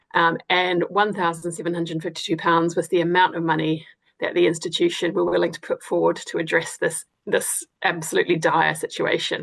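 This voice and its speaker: At a moderate pace, a woman speaks with a New Zealand accent. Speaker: academic researcher. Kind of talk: webinar presentation. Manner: hesitant, many fillers.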